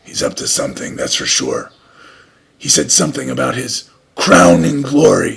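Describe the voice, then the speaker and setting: In a raspy, put-on character voice, a man speaks at a moderate pace with long, frequent pauses. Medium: read story. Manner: calm, serious.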